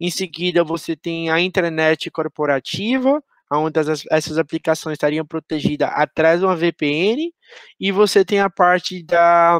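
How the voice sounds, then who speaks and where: With a Pernambuco accent, a man speaks at a fairly slow pace in a high pitch against a quiet background. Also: fairly even intonation, dry, close sound with no echo. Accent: Pernambuco Brazilian Portuguese. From Brazil, Pernambuco (Garanhuns, interior). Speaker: security professional, conference speaker. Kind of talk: conference talk. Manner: halting, many fillers.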